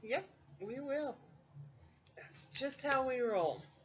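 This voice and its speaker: A woman talks at a high pitch with very wide pitch swings. Her pace is fairly slow. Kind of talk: craft tutorial. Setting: dining room at home. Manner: loud; casual, chatty.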